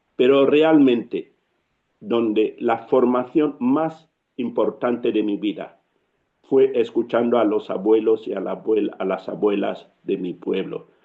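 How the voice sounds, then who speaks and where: A man speaks with a Cameroonian accent. His pace is very slow. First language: Yambasa (speaking Spanish). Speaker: writer and storyteller. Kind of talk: interview.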